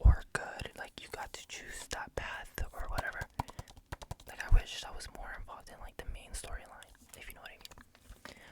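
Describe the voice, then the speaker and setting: At a moderate pace, a whisper comes through noticeable background noise. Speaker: ASMR creator. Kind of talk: casual ASMR rambling to camera. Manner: whispered.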